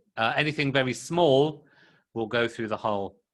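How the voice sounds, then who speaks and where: A man with a British accent and a fairly high pitch. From UK. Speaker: English teacher. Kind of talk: classroom lesson.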